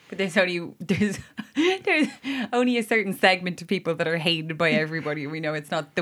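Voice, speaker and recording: Over noticeable background noise, a woman with an Irish accent talks at a very fast pace with ordinary pitch variation. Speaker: podcast co-host. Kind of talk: casual chat.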